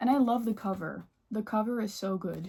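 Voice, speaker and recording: In a Dutch accent, a woman speaks at a fairly high pitch and a moderate pace. Her voice is somewhat breathy, with a dark, mellow tone. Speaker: book vlogger. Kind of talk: casual chat.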